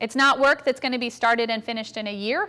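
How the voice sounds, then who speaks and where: A woman speaks with a fairly high pitch and fairly even intonation, a normal speaking voice. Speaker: pastor. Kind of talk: talk to congregation.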